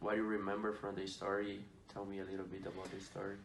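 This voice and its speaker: A man's fairly low, monotone voice with flat intonation and a Portuguese accent, at a fairly quick pace, with audible room echo. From Brazil. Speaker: student athlete podcast host. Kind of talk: student podcast interview.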